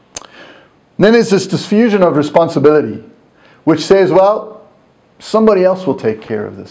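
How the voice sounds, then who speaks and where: Over audible room echo, a man with a high pitch and a dark, mellow tone speaks at a moderate pace. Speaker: university lecturer. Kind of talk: recorded lecture tutorial.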